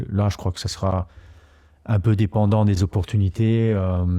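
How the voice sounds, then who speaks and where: In a dark, mellow tone and a fairly low pitch, a man speaks at a moderate pace with monotone, flat intonation over a quiet background. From Luxembourg, Italian parents. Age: 40s. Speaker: startup incubator CEO. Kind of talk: podcast interview. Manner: hesitant, many fillers and repetitions.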